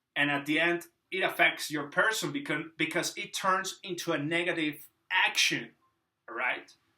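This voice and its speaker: A speaker with a Spanish accent talks at a moderate pace. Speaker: YouTuber. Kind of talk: casual monologue. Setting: drinking a beer on camera. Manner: halting.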